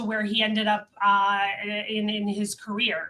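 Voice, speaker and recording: At a fairly slow pace, a woman speaks in a normal speaking voice with a fairly high pitch. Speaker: live show host. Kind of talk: prepared guest introduction; live interview.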